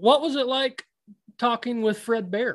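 In an American accent, a man with an extremely high pitch talks at a fairly slow pace against a quiet background. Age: 30s. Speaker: podcast host, predator hunter. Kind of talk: casual interview.

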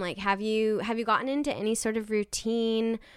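A woman speaks at a fairly quick pace in an ordinary speaking voice, her pitch fairly high, on a very clean recording with a silent background. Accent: American. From Nebraska. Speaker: podcast host. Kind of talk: interview.

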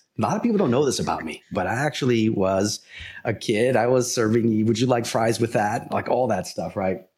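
This is an ordinary speaking voice with an American accent and ordinary pitch variation. The pace is moderate. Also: man, medium pitch for a man. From New York, the Bronx. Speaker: pricing consultant and company founder. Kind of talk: interview.

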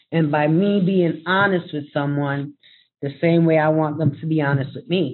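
At a moderate pace, a woman talks in a very deep, low pitch with fairly even intonation. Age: 40s. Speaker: parent advocate. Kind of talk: panel discussion.

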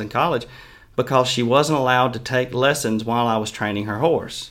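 In a Mississippi accent, a man speaks at a fairly quick pace with a medium pitch, a bright, sharp tone and ordinary pitch variation. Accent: Mississippi Southern. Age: 20s. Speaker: horse trainer. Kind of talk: casual interview chat.

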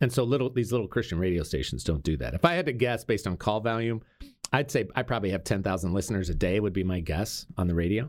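A man at a very fast pace, with a fairly low pitch and lively intonation. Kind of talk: interview. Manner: loud.

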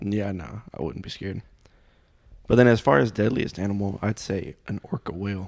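In an unremarkable speaking voice, a man speaks at a moderate pace with a fairly low pitch, ordinary pitch variation and big swings in loudness. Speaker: guest. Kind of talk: casual chat.

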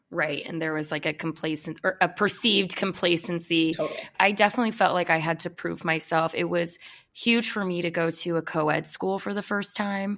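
In an American accent, a woman with fairly low pitch talks at a fairly quick pace in an ordinary speaking voice. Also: fairly even intonation. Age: 30s. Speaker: podcast co-host. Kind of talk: casual chat.

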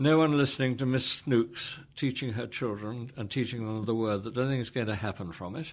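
A man with an English accent speaks at medium pitch. His pace is moderate and his pitch variation ordinary. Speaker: preacher and trainer of Bible teachers. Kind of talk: interview. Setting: office.

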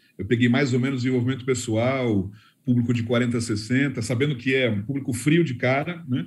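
A somewhat breathy man talks at a medium pitch with fairly even intonation. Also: moderate pace. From Brazil. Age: 50s. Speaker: personal development course creator. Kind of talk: casual panel consultation.

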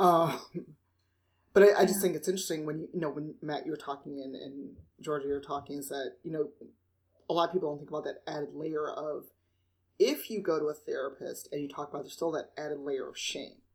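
A woman with a Midwestern US accent and a very deep, low pitch speaks at a very fast pace. Her loudness swings widely while her intonation stays fairly even. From Chicago. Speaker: podcast host. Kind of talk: casual chat.

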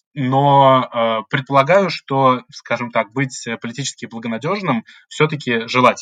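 A man speaks at a moderate pace and medium pitch, with ordinary pitch variation and a bright, sharp tone. The sound is dry and close with no echo, and the background is quiet. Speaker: graduate student, political scientist. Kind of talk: podcast interview.

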